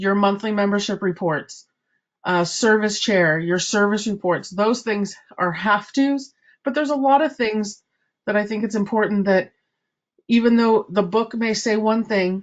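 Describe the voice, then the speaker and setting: An unremarkable speaking voice delivers the words at a moderate pace. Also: woman, medium pitch for a woman, ordinary pitch variation. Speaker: service club trainer. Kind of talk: training presentation.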